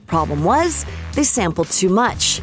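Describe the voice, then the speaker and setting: A woman keeps a moderate pace while music sounds behind her. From Canada. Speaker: radio host and voice-over artist. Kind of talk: commercial reads and radio links.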